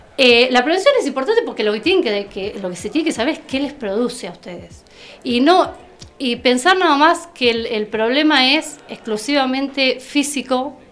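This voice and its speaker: Over music in the background, a woman with a high voice talks at a moderate pace with lively intonation. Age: 40s. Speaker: therapeutic companion. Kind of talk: interview. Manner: halting.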